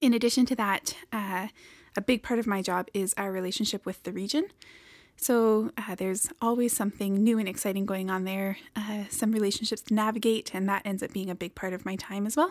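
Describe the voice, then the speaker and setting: Soft-spoken and medium-pitched, a woman talks at a fairly quick pace with fairly even intonation on a very clean recording with a silent background. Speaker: homeless shelter director. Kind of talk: casual chat.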